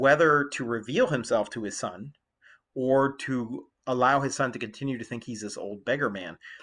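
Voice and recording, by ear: Quiet surroundings and reading aloud in a natural voice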